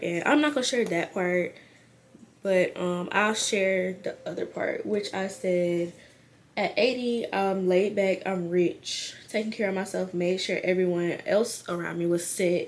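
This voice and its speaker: A woman speaks at a moderate pace with fairly even intonation and medium pitch. It is an unremarkable speaking voice. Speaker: YouTuber. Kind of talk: casual vlog. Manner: casual, filler-heavy.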